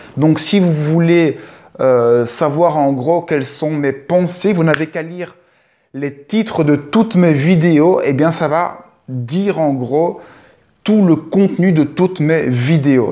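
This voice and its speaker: A man's fairly high voice with a dark, mellow tone, ordinary pitch variation, and a very slow pace. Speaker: video blogger. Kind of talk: improvised monologue. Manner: halting, hesitant with fillers.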